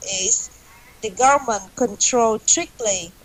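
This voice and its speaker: A woman at a very slow pace, her fairly high pitch showing ordinary variation. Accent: Vietnamese. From Vietnam. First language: Vietnamese. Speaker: English learner, accountant. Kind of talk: online English class discussion. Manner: halting.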